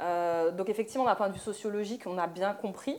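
This woman has a plain, everyday voice with a medium pitch. She talks at a fairly quick pace with fairly even intonation. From France, Moroccan Amazigh family from Oujda. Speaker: dancer and choreographer. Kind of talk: panel discussion. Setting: live event with audience.

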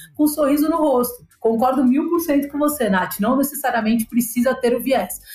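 A woman with a high pitch speaks at a moderate speed, her pitch varying in an ordinary way, with noticeable background noise behind her. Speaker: digital business leader. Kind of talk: casual chat.

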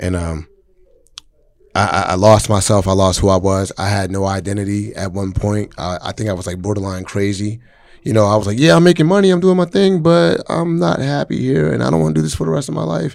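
A plain, everyday voice from a man, fairly low in pitch with lively intonation at a fairly quick pace, on a very clean recording with a silent background. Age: 30s. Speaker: hip-hop artist. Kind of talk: casual chat.

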